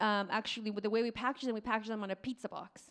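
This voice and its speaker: A woman speaks over noticeable background noise. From Mexico, Oaxaca. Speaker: restaurant owner. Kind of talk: live podcast interview. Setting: stage with audience. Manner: animated.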